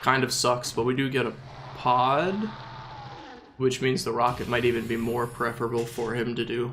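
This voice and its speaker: At a moderate pace, a man with a medium pitch talks amid noticeable background noise and audible room echo. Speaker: gaming streamer. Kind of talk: gameplay commentary. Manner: casual, hesitant with fillers.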